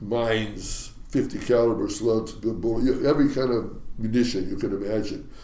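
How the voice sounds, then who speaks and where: A man with an American accent and a dark, mellow tone speaks with hardly any pauses and fairly even intonation, with audible room echo around him. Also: medium pitch for a man, moderate pace. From US Pacific Northwest, Ballard, Seattle. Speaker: retired fishing captain. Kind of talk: interview storytelling.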